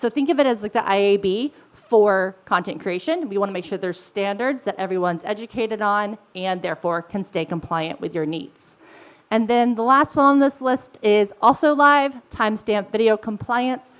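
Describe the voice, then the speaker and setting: A woman with a fairly high pitch and lively intonation. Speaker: product director. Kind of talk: conference presentation. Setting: stage with audience. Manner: fast.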